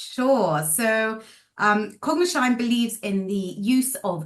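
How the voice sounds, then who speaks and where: In a British accent, a woman of medium pitch speaks with lively intonation. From UK. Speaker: speech therapist and researcher. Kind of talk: podcast interview. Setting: call.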